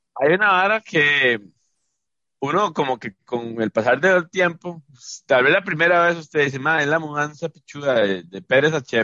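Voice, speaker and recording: A man speaks with a Costa Rican accent, lively intonation and a bright, sharp tone. The sound is dry and close, with no echo. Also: fairly high pitch for a man, moderate pace. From Costa Rica, San José area (Pavas). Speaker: podcast co-host. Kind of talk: casual chat.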